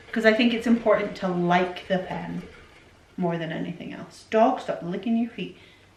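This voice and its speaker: Ordinary pitch variation and a moderate pace amid noticeable background noise and audible room echo. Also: woman, medium pitch for a woman. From Scotland, raised by English parents. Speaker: YouTuber, stay-at-home mum. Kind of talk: casual Q&A chat. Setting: at home by the Christmas tree.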